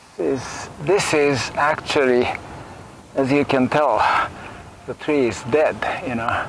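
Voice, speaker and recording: A man talks at a very slow pace. The sound is dry with no echo, and there is noticeable background noise. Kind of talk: casual vlog commentary. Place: forest.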